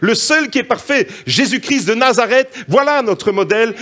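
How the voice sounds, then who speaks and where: Over noticeable background noise, a man talks very slowly with lively intonation and an extremely high pitch. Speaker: preacher. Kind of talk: sermon. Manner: animated.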